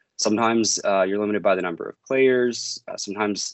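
With a Maritime Canadian accent, a man talks at a fairly low pitch with fairly even intonation. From Maritimes, Canada. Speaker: service management consultant. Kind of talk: podcast interview.

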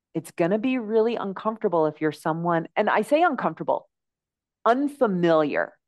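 Against a quiet background, a woman with a plain, everyday voice talks at a moderate pace with lively intonation. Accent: American. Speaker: health and life coach. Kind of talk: interview. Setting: remote call.

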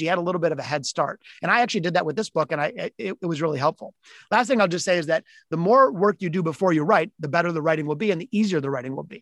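A man with an American accent talks at a very fast pace, high in pitch with lively intonation, in a dry, close sound with no echo. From Detroit, US Midwest. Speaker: author and entrepreneur. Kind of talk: interview. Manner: halting, many restarts.

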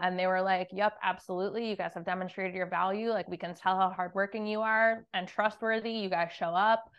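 Monotone, flat intonation in a medium-pitched woman's voice. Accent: American. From New Jersey. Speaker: real estate investor. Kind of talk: interview.

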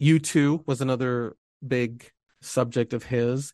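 In a quiet background with dry, close sound and no echo, a man with an unremarkable speaking voice talks at a medium pitch with fairly even intonation. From Ecuador, raised in Utah from age seven. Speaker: podcast host, journalist. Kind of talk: casual conversation.

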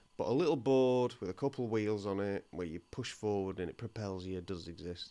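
This man has a fairly low pitch and a dark, mellow tone, with ordinary pitch variation. He talks at a fairly quick pace against a quiet background. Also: hardly any pauses. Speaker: podcast co-host and comedian. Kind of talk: casual chat. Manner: laid back.

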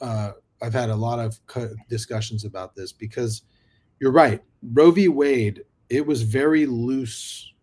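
Speaking at a fairly slow pace with long, frequent pauses, the voice is somewhat breathy, swings widely in loudness, and shows ordinary pitch variation. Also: man, medium pitch for a man. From Sacramento, California. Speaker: podcast host. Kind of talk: casual interview chat.

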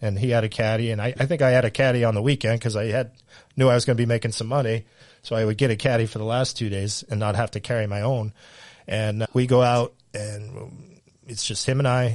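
A man speaks in an unremarkable speaking voice with a medium pitch and fairly even intonation. His pace is fairly quick, against a quiet background. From Central Massachusetts. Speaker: high school golf coach. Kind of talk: casual interview chat.

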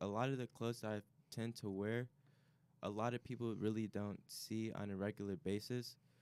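In a dry, close sound with no echo, a man with an American accent talks at a moderate pace. He has an ordinary speaking voice at medium pitch, with fairly even intonation. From Chicago area. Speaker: college student. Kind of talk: casual chat.

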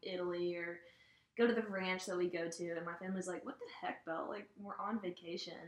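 A woman with a normal speaking voice, fairly low in pitch, fairly quick, with fairly even intonation. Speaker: college student. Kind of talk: casual chat.

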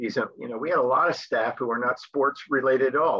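This man has a normal speaking voice and an American accent. His intonation is fairly even, and his pace is moderate. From US Northeast, New Jersey. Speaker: sports missionary, camp sports director. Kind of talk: interview.

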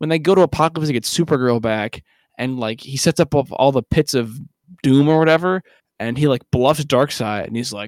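In a very clean recording with a silent background and a dry, close sound with no echo, a man uses a normal speaking voice at medium pitch, moderate pace and ordinary pitch variation. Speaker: podcast host. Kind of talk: casual comedic podcast banter. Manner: joking, playful.

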